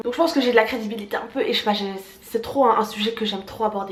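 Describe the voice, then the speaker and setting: There is noticeable background noise behind a woman speaking at a fairly high pitch. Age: 20s. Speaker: travel vlogger. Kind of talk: casual storytime vlog. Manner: animated.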